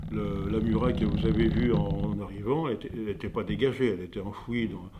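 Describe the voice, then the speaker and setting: This man speaks at a moderate pace. His voice sits fairly low, with a dark, mellow tone. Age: 80s+. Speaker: potter. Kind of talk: interview. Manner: halting.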